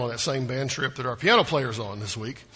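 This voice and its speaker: Speaking at a very fast pace in a Southern US accent, a man has a medium pitch and ordinary pitch variation. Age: 50s. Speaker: pastor. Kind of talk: sermon.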